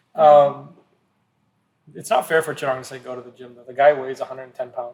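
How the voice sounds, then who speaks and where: Speaking at a very fast pace, a man with a fairly high pitch keeps fairly even intonation but shows big swings in loudness. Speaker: shop owner and podcast co-host. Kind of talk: casual chat. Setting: studio couch podcast.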